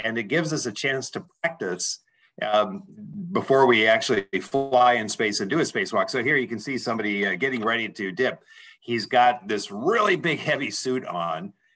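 Lively intonation marks a man's moderate-paced speech, with music in the background. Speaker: remote presenter. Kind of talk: career talk presentation. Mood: warm, enthusiastic. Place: office. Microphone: video call.

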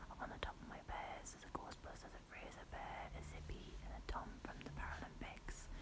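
A woman's whispering at a fairly quick pace, hardly any pauses. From United Kingdom. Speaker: ASMR creator. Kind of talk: ASMR room tour, casual talk to camera. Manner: whispered, quiet. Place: home room. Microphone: phone near.

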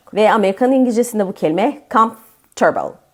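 A woman talks at a fairly quick pace in a normal speaking voice of medium pitch. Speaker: English teacher. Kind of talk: tutorial.

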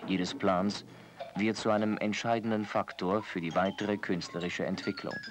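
At a moderate pace, a man uses a normal speaking voice with a fairly low pitch and fairly even intonation. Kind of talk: scripted documentary narration. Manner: measured, formal, even-paced; polished, authoritative, descriptive.

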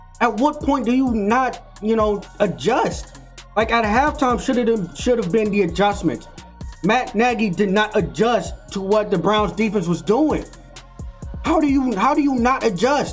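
Faint music plays behind a man whose high pitch has ordinary pitch variation, delivered at a fairly slow pace with very even loudness. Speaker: sports fan commentator. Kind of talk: post-game reaction commentary. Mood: frustrated, heated. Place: home room. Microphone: webcam.

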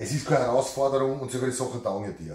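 In an Austrian accent, a man talks at a very fast pace with audible room echo. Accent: regional Austrian dialect. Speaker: carpenter. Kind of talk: casual talk to camera. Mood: hesitant, reluctant. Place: workshop. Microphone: camera far.

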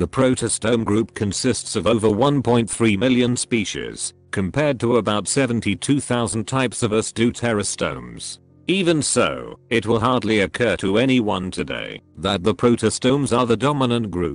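A man talks with ordinary pitch variation and very even loudness. The sound is dry with no echo, and music plays in the background. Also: fairly slow pace. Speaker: narrator. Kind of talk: educational narration.

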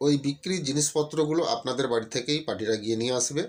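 With ordinary pitch variation, this is an unremarkable speaking voice. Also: man. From West Bengal, India (Paschim Medinipur). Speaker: YouTuber selling sound equipment. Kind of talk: sales pitch.

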